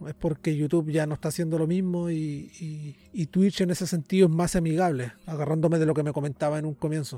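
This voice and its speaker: Speaking fairly quickly with hardly any pauses, a man with a Chilean accent has a fairly high pitch, a dark, mellow tone and fairly even intonation. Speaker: podcast host. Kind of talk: casual interview.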